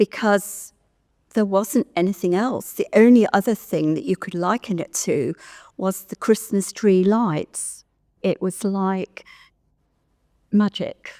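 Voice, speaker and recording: Pausing long and often, a woman with an English Midlands accent speaks at a very slow pace in a dark, mellow tone, on a very clean recording with a silent background and a dry, close sound with no echo. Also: medium pitch for a woman, ordinary pitch variation. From Stratford-upon-Avon, England. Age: 70s. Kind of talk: oral history interview answer.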